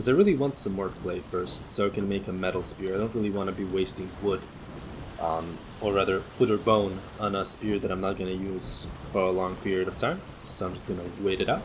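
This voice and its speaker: A man speaks with a very deep, low pitch and fairly even intonation at a fairly quick pace. Noticeable background noise runs underneath. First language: not English. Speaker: gaming streamer. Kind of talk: let's play commentary.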